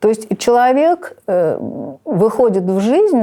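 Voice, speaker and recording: A woman speaks at a very slow pace in a dark, mellow tone, her pitch swinging very widely. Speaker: literature teacher. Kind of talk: interview answer.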